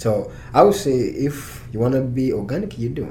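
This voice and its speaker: Room echo is audible and background noise is noticeable. A man talks at a moderate pace with ordinary pitch variation. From Uganda, near Kampala. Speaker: farmer and university researcher. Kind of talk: interview. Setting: studio, in person. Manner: halting.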